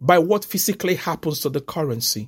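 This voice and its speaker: The speech keeps a moderate pace. The recording is very clean, with a silent background. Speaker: preacher. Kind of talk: sermon. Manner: exhortatory, fervent preacher's delivery; declarative, repeating key phrases for emphasis.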